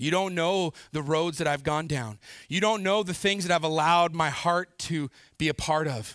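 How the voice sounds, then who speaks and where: A plain, everyday voice from a man, fairly high-pitched and fairly slow, on a very clean recording with a silent background. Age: 40s. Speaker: pastor. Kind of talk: sermon.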